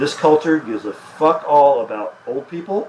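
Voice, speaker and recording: A man with an American accent, fairly high in pitch and with very wide pitch swings, over noticeable background noise. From US Midwest, Chicago. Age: 60s. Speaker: author and media experimenter. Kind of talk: onstage conversation.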